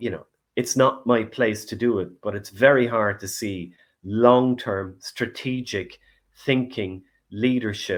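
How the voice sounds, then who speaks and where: A man with an Irish accent at medium pitch, fairly slow in pace, with ordinary pitch variation and a very clean recording with a silent background. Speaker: finance commentator. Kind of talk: interview discussion.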